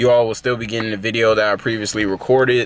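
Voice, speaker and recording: Over light background noise, a man speaks very fast with monotone, flat intonation in a dry sound with no echo. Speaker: fitness vlogger. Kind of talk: casual vlog chat. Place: car. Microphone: phone near.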